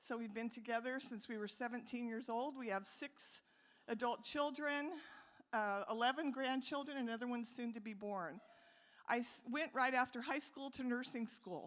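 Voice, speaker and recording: Her voice high in pitch with ordinary variation, a woman speaks in an American accent. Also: moderate pace. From US West, Modesto, California. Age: 60s. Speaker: city mayor, former nurse. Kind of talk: public speech.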